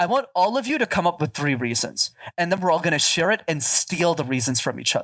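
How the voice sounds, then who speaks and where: A man speaks in an animated tone at a very fast pace. His voice sits high for a man and swings very widely in pitch. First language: French. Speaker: public speaking coach. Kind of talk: podcast interview.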